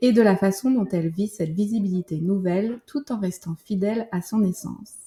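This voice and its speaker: The voice is somewhat breathy with a dark, mellow tone, ordinary pitch variation, and a moderate pace. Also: woman. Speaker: podcast host. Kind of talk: interview; scripted introduction.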